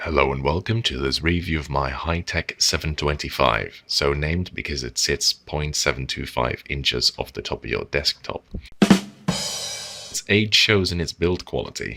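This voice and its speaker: A man speaking at a moderate pace, with music in the background. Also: dry, close sound with no echo. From Netherlands. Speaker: keyboard reviewer. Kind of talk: product review narration.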